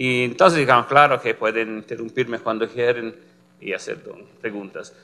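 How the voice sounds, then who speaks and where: A man speaks with an Italian accent. His tone is bright and sharp, with fairly even intonation. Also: moderate pace. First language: Italian (speaking Spanish). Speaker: physicist, complex systems researcher; lecturer. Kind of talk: lecture. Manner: halting, many fillers. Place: classroom.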